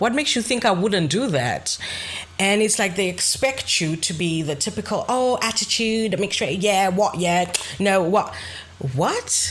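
A woman's voice moves in very wide pitch swings over noticeable background noise. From Zambia and Zimbabwe, raised partly in Greece. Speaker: podcast co-host. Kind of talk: casual chat.

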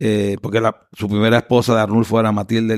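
In a Panamanian accent, a man speaks at a fairly low pitch with monotone, flat intonation. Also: dry, close sound with no echo, very clean recording, silent background. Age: 50s. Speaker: lawyer and political candidate. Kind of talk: interview. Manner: halting, many fillers.

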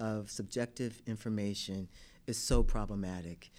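A man with an American accent is heard in a very clean recording with a silent background. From Newark, New Jersey, US. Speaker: law school admissions dean. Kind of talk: interview.

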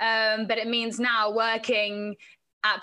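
A woman with an English accent speaks in a fairly high voice with a bright, sharp tone. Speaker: sports presenter and reporter. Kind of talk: casual chat.

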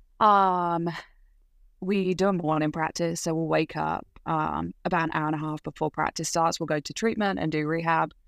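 Fairly low-pitched woman with a southern English accent, moderate pace and fairly even intonation, on a very clean recording against a silent background. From England, Leighton Buzzard (Bedfordshire). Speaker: college gymnast. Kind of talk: interview.

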